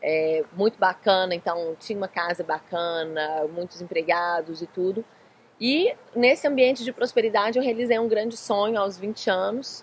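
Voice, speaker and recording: In a Minas Gerais accent, a woman speaks at a medium pitch and a moderate pace with lively intonation. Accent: Minas Gerais accent, noticeable. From Brazil, Minas Gerais (Belo Horizonte). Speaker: life coach. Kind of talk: interview. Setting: in Florianópolis.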